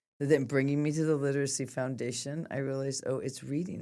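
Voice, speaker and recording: A woman with an American accent talks at a fairly quick pace in a very deep, low pitch. Her tone is dark and mellow, and the recording is very clean with a silent background. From US West, Sacramento, California. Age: 60s. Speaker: nonprofit executive director. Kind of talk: interview conversation.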